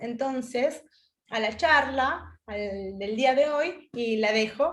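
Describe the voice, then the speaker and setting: Ordinary pitch variation marks a woman's fairly high voice in a Spanish accent. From Spain. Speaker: webinar moderator. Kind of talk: event introduction.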